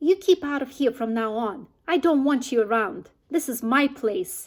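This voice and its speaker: In a put-on character voice, a woman sounds shrill at a high pitch. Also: moderate pace. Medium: read story.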